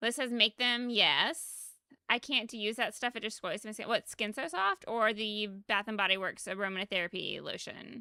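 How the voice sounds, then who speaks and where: A woman with an American accent and a fairly high pitch, bright and sharp in tone, with ordinary pitch variation at a moderate pace, the sound dry and close with no echo on a very clean recording with a silent background. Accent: Southern US, mostly masked. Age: 30s. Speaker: game streamer. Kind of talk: casual livestream chat. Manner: animated.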